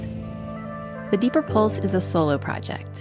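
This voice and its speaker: Music in the background accompanies this woman's speech. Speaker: podcast host. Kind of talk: podcast intro.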